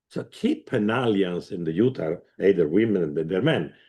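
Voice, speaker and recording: This man speaks slowly. His pace is fairly slow throughout. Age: 60s. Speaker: former president of the host committee. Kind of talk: conference speech. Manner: halting.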